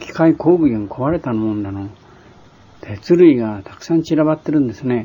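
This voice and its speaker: A man's medium-pitched, cheerful voice with big swings in loudness and noticeable background noise. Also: lively intonation, moderate pace. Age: 60s. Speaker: war veteran, former Siberian internee. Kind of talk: casual spoken reminiscence. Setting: home or shop recording on cassette tape. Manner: sometimes sleepy, sometimes cheerful.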